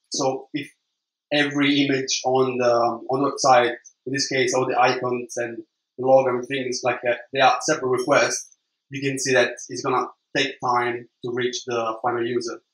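Speaking in an Italian accent, a man holds a medium pitch with monotone, flat intonation. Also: moderate pace. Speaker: web developer. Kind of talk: conference talk. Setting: stage with audience. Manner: halting.

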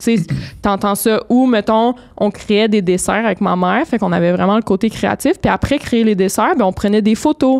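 Spoken at a moderate pace in a Quebec accent, the voice keeps a very even loudness and ordinary pitch variation over a quiet background. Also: woman, fairly high pitch for a woman. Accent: Québécois French. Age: 20s. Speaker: entrepreneur and single mother; podcast guest. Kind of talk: casual chat. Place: studio. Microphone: studio mic.

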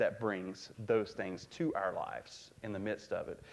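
A man is speaking. His pace stays moderate. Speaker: pastor. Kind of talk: sermon. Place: church.

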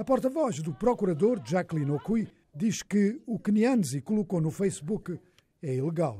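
At a moderate pace, a man is speaking. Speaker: news reporter. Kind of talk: news reading. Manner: formal, steady.

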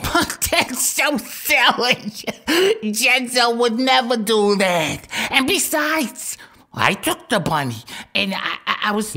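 The speech moves at a very slow pace, broken by long, frequent pauses. Its intonation is lively. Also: woman, high pitch for a woman. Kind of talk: comic gangster sketch. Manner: naive, cheerful, slow.

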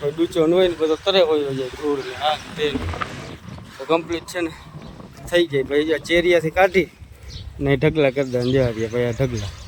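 The man's pitch is fairly high, with ordinary variation. Noticeable background noise runs underneath. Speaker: farmer vlogger. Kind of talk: casual vlog narration.

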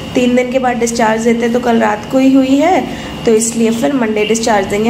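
A woman speaks at a moderate pace with very even loudness and fairly even intonation over noticeable background noise. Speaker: vlogger in hospital. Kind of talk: casual vlog chat. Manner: weak, drowsy post-surgery voice. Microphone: phone near.

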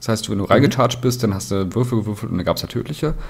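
A man with a medium pitch, an ordinary speaking voice, and lively intonation. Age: 30s. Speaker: tabletop wargaming player. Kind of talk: casual chat.

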